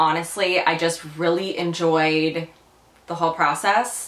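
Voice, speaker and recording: Audible room echo surrounds a woman speaking at a fairly low pitch. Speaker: lifestyle vlogger. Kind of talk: casual vlog chat. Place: home room.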